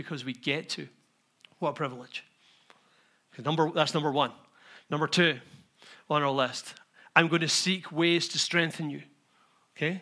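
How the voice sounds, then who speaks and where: Bright and sharp in tone, a man talks at a fairly quick pace with vocal fry. His intonation stays monotone and flat. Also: very clean recording, silent background. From Scotland. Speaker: pastor. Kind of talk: sermon. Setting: church.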